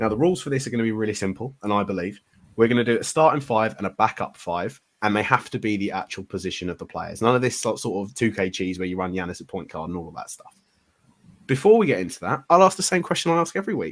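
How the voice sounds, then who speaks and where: Speaking very fast with a British accent, a man uses a fairly low pitch. His pitch swings very widely. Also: big swings in loudness. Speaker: podcast host. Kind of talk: casual chat.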